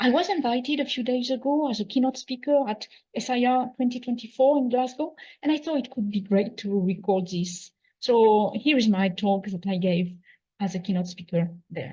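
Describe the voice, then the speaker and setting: A woman's fairly high voice with a French accent, a dark, mellow tone, lively intonation and a moderate pace. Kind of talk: conference keynote talk. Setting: conference hall.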